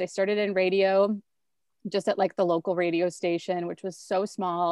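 At a fairly quick pace, a woman with a medium pitch and fairly even intonation speaks in an ordinary speaking voice. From rural central Wisconsin. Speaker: TV host and pop culture commentator. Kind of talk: casual chat.

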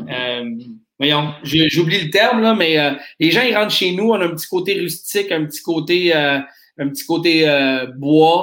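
A man speaks in a fairly high voice. His intonation is lively. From Nova Scotia, Canada. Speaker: craft beer shop owner. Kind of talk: interview. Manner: halting.

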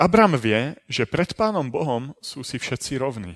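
A man's unremarkable speaking voice, medium in pitch, at a fairly slow pace, with a dry, close sound and no echo. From Slovakia, Trenčín. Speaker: preacher. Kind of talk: lecture.

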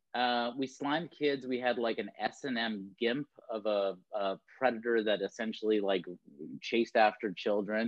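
A man speaks at a medium pitch with an ordinary speaking voice. His pace is moderate and his intonation fairly even. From Canada, Toronto. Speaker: talent agent. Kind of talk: casual chat.

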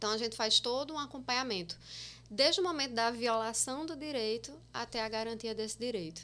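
Fairly quick pace from a woman with a bright, sharp tone. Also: fairly high pitch for a woman, ordinary pitch variation. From Paraíba sertão, Itaporanga (born in Osasco). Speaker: social worker and exam-prep teacher. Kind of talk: casual podcast interview.

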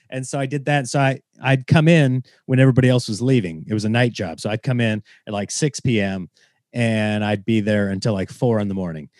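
A man in a normal speaking voice with an American accent, medium in pitch with ordinary variation, at a fairly quick pace, in a dry, close sound with no echo and a quiet background. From Nebraska. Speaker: stand-up comedian. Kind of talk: casual interview chat.

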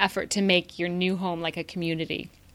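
The recording is very clean, with a silent background. A woman talks at a fairly quick pace. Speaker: podcast co-host. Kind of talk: casual chat. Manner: animated.

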